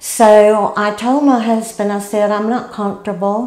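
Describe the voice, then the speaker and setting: A woman at medium pitch with monotone, flat intonation, at a fairly slow pace, amid noticeable background noise and audible room echo. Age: 60s. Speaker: patient. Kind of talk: testimony.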